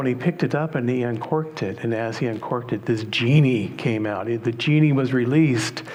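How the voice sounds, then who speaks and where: Over noticeable background noise and audible room echo, a man is speaking. He talks at a fairly quick pace with lively intonation. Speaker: minister. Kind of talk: sermon. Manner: calm, soothing.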